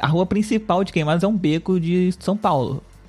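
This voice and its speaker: A man is talking. His pace is moderate. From Rio de Janeiro, Brazil. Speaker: podcast host. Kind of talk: casual chat. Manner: animated.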